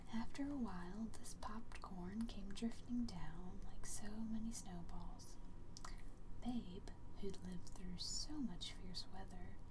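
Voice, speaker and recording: Someone whispers at a very slow pace with an American accent. Noticeable background noise sits behind the voice. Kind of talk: bedtime story reading. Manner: soft-spoken, quiet.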